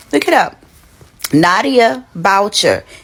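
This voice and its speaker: Noticeable background noise accompanies a woman speaking at a fairly slow pace and medium pitch in an animated tone. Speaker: social media commentator. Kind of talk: casual commentary video.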